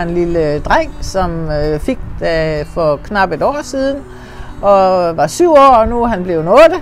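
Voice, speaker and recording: A woman speaks at a very slow pace with very wide pitch swings over noticeable background noise. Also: medium pitch for a woman. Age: 60s. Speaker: volunteer mentor. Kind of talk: testimony. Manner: hesitant, with filler sounds.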